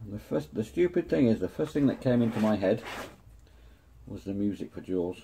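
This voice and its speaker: A man with an English accent speaks at a fairly low pitch in a dark, mellow, somewhat breathy tone, with very wide pitch swings, long, frequent pauses and light background noise. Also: fairly quick pace, big swings in loudness. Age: 50s. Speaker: model-building YouTuber. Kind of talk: hobby tutorial; casual build tutorial chat. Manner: casual, chatty. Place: workshop. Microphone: phone near.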